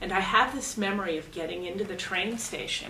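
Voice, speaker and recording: A woman with a medium pitch speaks at a moderate pace with ordinary pitch variation. Room echo and noticeable background noise are both audible. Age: 50s. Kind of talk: documentary interview.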